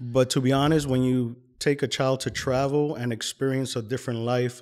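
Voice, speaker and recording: A man with an American accent speaks at a moderate pace in a medium pitch, his intonation monotone and flat, on a very clean recording with a silent background. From New York City, Washington Heights; teens in Colombia. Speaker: podcast guest. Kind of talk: casual interview chat.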